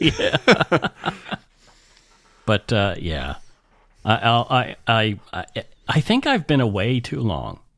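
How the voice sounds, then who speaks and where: A man at medium pitch speaks with vocal fry and very wide pitch swings. The pace is very slow with long, frequent pauses, in a dry, close sound with no echo. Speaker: podcast host. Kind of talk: casual chat. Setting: studio.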